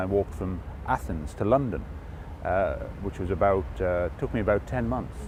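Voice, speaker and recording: A man with an English accent and very wide pitch swings. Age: 50s. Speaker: former politician and charity walker. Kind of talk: interview.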